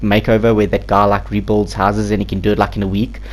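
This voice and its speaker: A man's voice against noticeable background noise. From South Africa. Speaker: gaming YouTuber. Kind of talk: game build commentary. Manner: hesitant, many fillers; casual.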